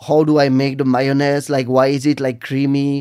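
A man with a French accent speaks in a fairly high, monotone voice with flat intonation, recorded very cleanly against a silent background. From northern France, Lille. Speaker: restaurant entrepreneur. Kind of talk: interview. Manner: halting.

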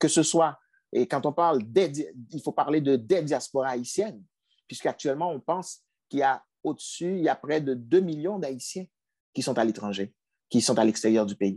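A dark, mellow voice with lively intonation moves at a moderate pace in a dry, close sound with no echo. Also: man, fairly high pitch for a man. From Haiti. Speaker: provincial politician. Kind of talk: interview.

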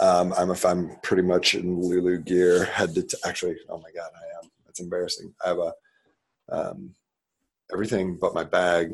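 In a quiet background, a man talks at a moderate pace. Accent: Midwestern American. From Nebraska, US Midwest. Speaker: startup CEO, former college football player. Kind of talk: interview.

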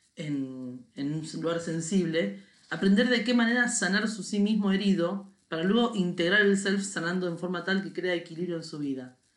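Audible room echo hangs around this woman's speech. Her voice sits fairly low in pitch. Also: ordinary pitch variation, moderate pace. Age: 40s. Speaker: podcast co-host. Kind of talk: casual chat.

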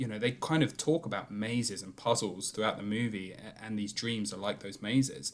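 A man's fairly low, fairly quick delivery with hardly any pauses, ordinary pitch variation and big swings in loudness. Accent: British. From Britain. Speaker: film podcast co-host. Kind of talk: casual chat.

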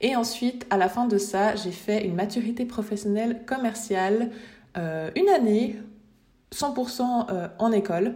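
Against noticeable background noise, a woman speaks fairly slowly at a fairly high pitch with ordinary pitch variation. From Switzerland. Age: 20s. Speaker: graphic designer and podcast host. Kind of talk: casual solo podcast monologue. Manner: unscripted with hesitations.

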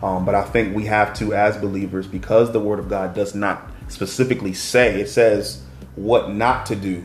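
A man with a plain, everyday voice speaks at a moderate pace, fairly low in pitch, his pitch varying in an ordinary way. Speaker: faith-based podcast host. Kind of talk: casual faith discussion. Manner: warm, encouraging, preacher-like.

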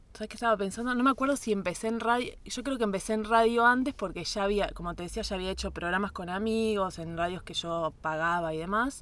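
At a very fast pace with hardly any pauses, a woman speaks in a Rioplatense accent on a very clean recording with a silent background. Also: medium pitch for a woman, ordinary pitch variation. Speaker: radio announcer and journalist. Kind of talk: interview conversation. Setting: studio.

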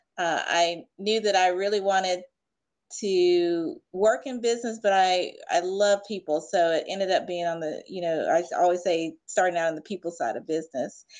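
An unremarkable speaking voice from a woman with an American accent, medium in pitch, with ordinary pitch variation and a moderate pace, against a quiet background. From US South. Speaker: leadership expert. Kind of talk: interview.

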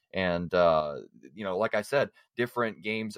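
An ordinary speaking voice at a fairly quick pace with fairly even intonation, dry, close sound with no echo, very clean recording with a silent background. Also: man. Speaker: caller. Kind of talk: casual chat.

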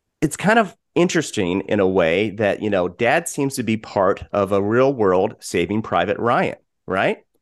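A man's normal speaking voice, fairly low in pitch, with lively intonation at a moderate pace. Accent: American. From Colorado, US. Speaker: podcast host. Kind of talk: casual chat.

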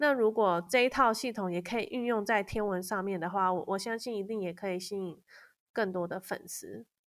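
Speaking with a Taiwanese accent, a woman uses a medium pitch and ordinary pitch variation at a moderate pace. The recording is very clean, with a silent background. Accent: Taiwanese Mandarin. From Taiwan, Kaohsiung. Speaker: copywriter. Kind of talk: interview.

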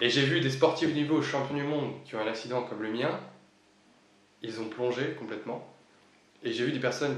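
Noticeable background noise and audible room echo accompany a man of medium pitch, who speaks at a moderate pace with ordinary pitch variation. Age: 20s. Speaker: paraplegic former motocross athlete. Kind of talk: interview. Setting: office.

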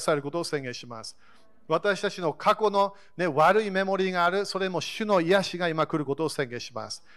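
A high-pitched male voice with pitch that moves in an ordinary way. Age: 40s. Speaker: pastor. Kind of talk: sermon. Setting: church service.

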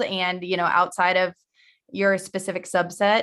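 A woman with a Midwestern American accent speaks at a moderate pace. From Missouri, US Midwest. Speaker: vestibular audiologist. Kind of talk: casual interview.

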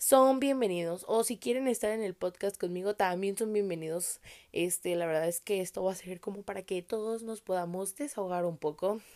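A woman at medium pitch with a dark, mellow tone, moderate pace, and ordinary pitch variation. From Mexico, Tijuana, Baja California. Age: 20s. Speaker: podcaster. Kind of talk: casual monologue. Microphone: new microphone.

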